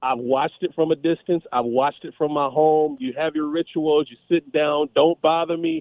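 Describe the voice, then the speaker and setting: At a moderate pace, a man with a fairly high pitch and fairly even intonation speaks in a plain, everyday voice. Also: hardly any pauses. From Los Angeles. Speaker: caller. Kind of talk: casual chat.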